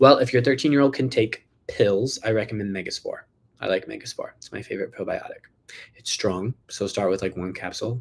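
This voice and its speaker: The man's volume swings widely. He keeps up a fairly quick pace. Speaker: health doctor answering viewer questions. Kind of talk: live Q&A. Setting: livestream. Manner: fast.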